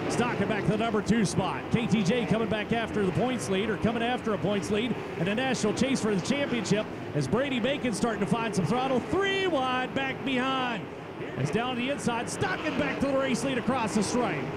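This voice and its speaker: The speaker sounds animated, with lively intonation, very even loudness and a fairly quick pace over noticeable background noise. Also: man, extremely high pitch for a man. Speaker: race announcer. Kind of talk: live race commentary. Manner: fast, rapid-fire, excitable play-by-play; loud, animated, showman-like.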